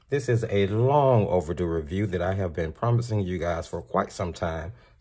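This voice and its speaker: A man speaks with a very deep, low pitch and a dark, mellow tone that is somewhat breathy. His intonation is lively, his pace moderate, and the recording very clean with a silent background. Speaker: art supply reviewer. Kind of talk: product review.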